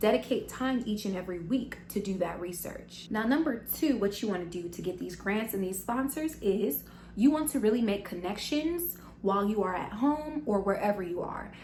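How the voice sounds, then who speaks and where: Animated and lively in intonation, a woman with an American accent talks at a fairly quick pace and fairly high pitch, with audible room echo and noticeable background noise. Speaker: business vlogger. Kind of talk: tutorial. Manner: fast.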